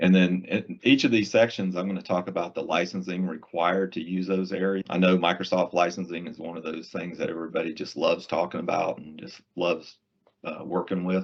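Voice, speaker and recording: Speech in a Southern US accent comes at a fairly quick pace with hardly any pauses, fairly even intonation and big swings in loudness. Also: man, very deep, low pitch for a man. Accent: Southern US accent, noticeable. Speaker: IT solutions presales engineer. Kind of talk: webinar presentation. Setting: online webinar in Microsoft Teams. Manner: casual, conversational.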